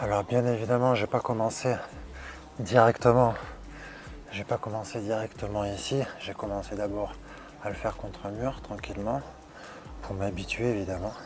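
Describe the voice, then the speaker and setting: Soft-spoken and monotone, a man talks at a moderate pace, broken by long, frequent pauses. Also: fairly low pitch for a man. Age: 40s. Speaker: fitness youtuber. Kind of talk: casual vlog tutorial. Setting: outdoors on terrace.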